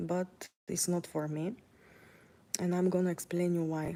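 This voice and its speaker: A woman with a Bulgarian accent speaks in a dark, mellow tone. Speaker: vlogger. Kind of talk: casual vlog monologue while walking. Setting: outdoors, walking. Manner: hesitant, many fillers.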